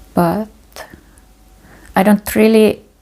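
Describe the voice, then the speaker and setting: Spoken with a non-native accent at a very slow pace, the voice has a dark, mellow tone. The intonation stays monotone and flat. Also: woman. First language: not English. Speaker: meditation teacher. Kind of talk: guided meditation. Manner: halting.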